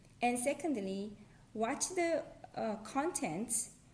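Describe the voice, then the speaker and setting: A woman with a Korean accent at a very slow pace. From South Korea. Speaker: language tutorial creator. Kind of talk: casual talk to camera.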